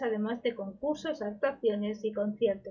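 A woman talks at a fairly slow pace. Her pitch shows ordinary variation. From Spain, Málaga. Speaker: news podcast host. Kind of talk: news reading.

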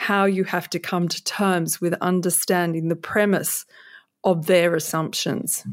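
A fairly low-pitched woman with an Australian accent, at a very slow pace in a monotone, flat intonation, on a very clean recording with a silent background. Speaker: author and former stockbroker. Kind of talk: interview.

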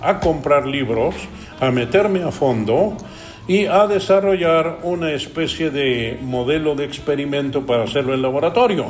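Music plays behind the voice, and the room gives an audible echo. The delivery is fairly slow, with ordinary pitch variation. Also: man. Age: 70s. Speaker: business consultant. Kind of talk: interview conversation.

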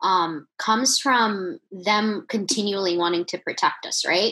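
A woman's fairly high voice, bright and sharp in tone. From US, Virginia. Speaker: podcast co-host. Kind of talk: casual chat.

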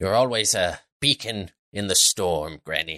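A man puts on a character voice with a very deep, low pitch, delivered at a moderate pace. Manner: dramatic, ominous, fretful.

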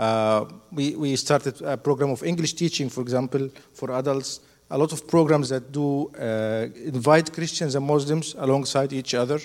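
Speaking with an Arabic accent, this voice moves at a moderate pace with fairly even intonation. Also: man, fairly high pitch for a man. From Egypt. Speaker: doctor, hospital founder. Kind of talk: testimony. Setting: church.

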